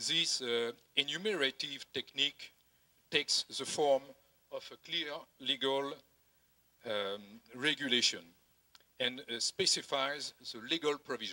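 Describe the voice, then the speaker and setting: A man with a French accent, fairly high-pitched and bright, sharp in tone, at a fairly slow pace with long, frequent pauses, ordinary pitch variation and a dry, close sound with no echo. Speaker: tax auditing director. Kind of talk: conference presentation read from prompter. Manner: halting, many hesitations.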